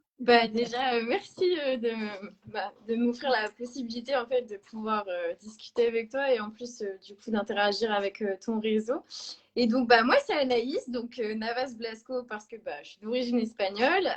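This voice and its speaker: A woman speaks at a fairly high pitch and a fairly slow pace. Her pitch varies in an ordinary way while her loudness swings widely. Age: 20s. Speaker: sales representative. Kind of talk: interview. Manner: hesitant, many fillers.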